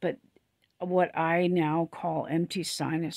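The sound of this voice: A woman speaks at a low pitch with a slightly husky edge and vocal fry. The sound is dry and close, with no echo.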